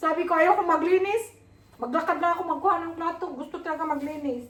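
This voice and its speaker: A loud woman's voice at an extremely high pitch, very fast pace and ordinary pitch variation, with audible room echo. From Philippines. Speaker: vlogger. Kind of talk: casual vlog chat. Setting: workplace, walking to bus.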